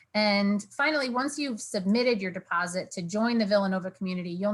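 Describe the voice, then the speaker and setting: Her voice is somewhat breathy, at a medium pitch for a woman with ordinary pitch variation. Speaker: university financial aid director. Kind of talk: online information session presentation. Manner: fast.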